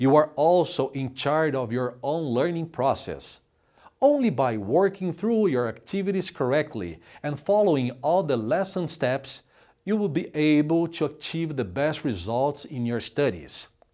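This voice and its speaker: A very clean recording with a silent background captures a man's dark, mellow tone, fairly high pitch and lively intonation. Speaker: announcer. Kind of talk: corporate narration.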